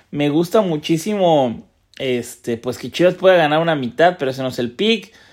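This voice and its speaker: The man's pitch is fairly high, with lively intonation. The recording is very clean, with a silent background. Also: moderate pace. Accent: Mexican. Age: 30s. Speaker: sports betting tipster. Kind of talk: casual monologue. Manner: laughs often; halting with repetitions.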